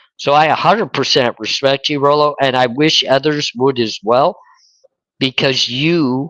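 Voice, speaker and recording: A man with a fairly high pitch and ordinary pitch variation is heard in a dry, close sound with no echo. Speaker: YouTube true crime creator. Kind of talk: casual chat. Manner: slow.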